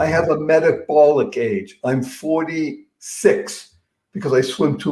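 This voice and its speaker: Somewhat breathy and fairly high-pitched, a man talks with very wide pitch swings. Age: 70s. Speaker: motivational speaker. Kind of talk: interview. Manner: animated.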